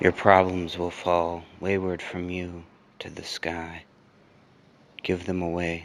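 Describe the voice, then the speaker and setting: Very deep and low in pitch, a man speaks at a very slow pace with monotone, flat intonation, big swings in loudness and long, frequent pauses. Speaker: spoken word poet. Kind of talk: improvised spoken word poetry. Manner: relaxed.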